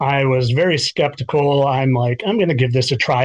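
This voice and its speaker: A somewhat breathy man's voice at medium pitch, with an American accent. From US Midwest, Chicago northern suburbs. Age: 40s. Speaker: teacher. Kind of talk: casual interview chat. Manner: halting, many filler words.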